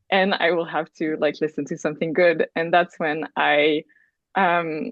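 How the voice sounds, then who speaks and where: A woman is speaking. She has a Quebec accent. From Quebec, Canada. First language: French. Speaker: astrology student, program alum. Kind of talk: podcast conversation. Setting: remote call. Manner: casual, many fillers.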